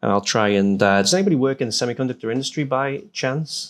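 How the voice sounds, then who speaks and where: Over a silent background in a very clean recording, a man with a northern English accent talks at a fairly quick pace. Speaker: hardware security researcher. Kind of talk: conference talk. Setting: stage with audience. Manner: halting, many fillers.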